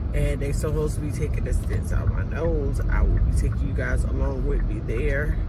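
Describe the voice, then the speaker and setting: Music plays in the background while a woman talks at a moderate pace. The sound is dry with no echo. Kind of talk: casual vlog chat. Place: car. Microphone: phone near.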